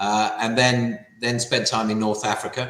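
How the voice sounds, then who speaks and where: There is audible room echo around a man with a British accent. He speaks at a moderate pace in a fairly low pitch. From England (London, Wimbledon). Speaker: company CEO. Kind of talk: business interview.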